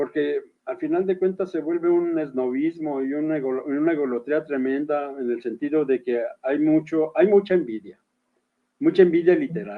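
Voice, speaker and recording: This man talks at a moderate pace with a fairly high pitch and ordinary pitch variation. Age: 60s. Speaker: writer and poet. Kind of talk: interview. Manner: halting.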